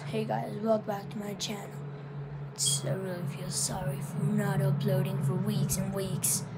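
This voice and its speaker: A woman's strained, put-on character voice, very deep and low in pitch, at a moderate pace against loud background noise. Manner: strained, unnatural, forced apologetic.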